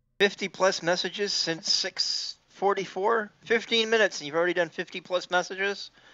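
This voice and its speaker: A man with a high pitch, speaking with hardly any pauses. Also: moderate pace. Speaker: video game streamer. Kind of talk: casual chat while gaming. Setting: online voice chat during live-streamed game. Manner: animated, jokey and laughs often.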